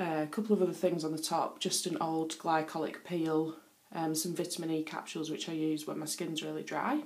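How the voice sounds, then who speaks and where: In a northern English accent, a woman with a very deep, low pitch speaks fairly quickly in a flat monotone, with audible room echo. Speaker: beauty vlogger. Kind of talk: casual show-and-tell vlog. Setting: bathroom. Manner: hesitant, many fillers.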